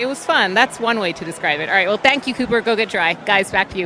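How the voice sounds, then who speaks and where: At a very fast pace, a woman with a medium pitch speaks in lively intonation over noticeable background noise. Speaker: sports reporter. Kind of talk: postgame interview questions.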